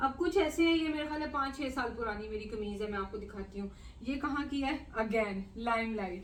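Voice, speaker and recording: A fairly high-pitched woman at a moderate pace, with audible room echo. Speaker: lifestyle and cooking vlogger. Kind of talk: casual vlog chat. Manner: chatty, many fillers.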